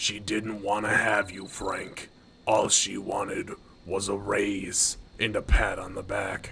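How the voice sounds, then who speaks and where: A raspy, put-on character voice at a fairly slow pace. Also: man, fairly low pitch for a man. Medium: machinima. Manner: impatient, bossy.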